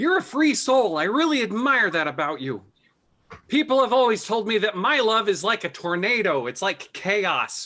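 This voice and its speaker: Someone puts on a character voice, fairly high in pitch, at a moderate pace. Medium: comedy sketch. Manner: earnest, sentimental.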